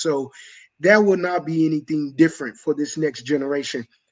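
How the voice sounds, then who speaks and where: With an American accent and an unremarkable speaking voice, a man talks at a fairly quick pace with a fairly high pitch and ordinary pitch variation over a quiet background. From US South, Mobile, Alabama. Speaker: coach and mentor. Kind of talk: panel discussion.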